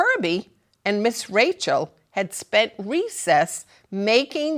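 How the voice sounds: A natural reading voice is heard. Behind it, the background is quiet.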